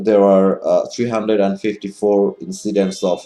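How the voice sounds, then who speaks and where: A man with a Bengali accent speaks in a dark, mellow tone at a fairly low pitch. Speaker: online commentator. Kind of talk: advocacy monologue. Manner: halting, many fillers.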